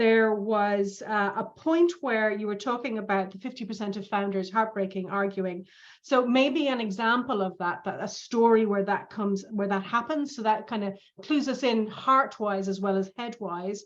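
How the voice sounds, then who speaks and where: A woman with a normal speaking voice, fairly high pitch, moderate pace, and ordinary pitch variation. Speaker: speech evaluator. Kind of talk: speech feedback.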